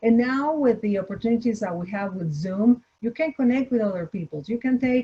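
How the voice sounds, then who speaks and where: Speaking with a slight Spanish accent, a woman has a fairly high pitch, a dark, mellow tone and lively intonation. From Mexico, Torreón. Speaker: entrepreneur, restaurant founder. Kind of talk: online panel Q&A. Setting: video call. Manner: halting, many repetitions.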